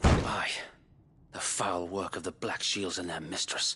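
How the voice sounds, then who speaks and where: In a raspy, very deep put-on character voice, a man speaks at a fairly slow pace. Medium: video game. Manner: earnest, formal, blunt.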